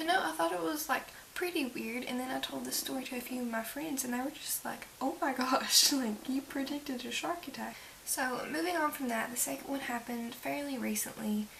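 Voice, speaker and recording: Amid noticeable background noise, a woman whispers quietly. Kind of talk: casual talk to camera. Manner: whispered, quiet, tired.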